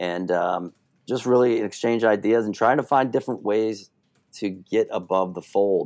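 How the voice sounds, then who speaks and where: A man speaks at a moderate pace and medium pitch with ordinary pitch variation, in an unremarkable speaking voice. The recording is very clean with a silent background. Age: 40s. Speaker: local government communications manager. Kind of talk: interview.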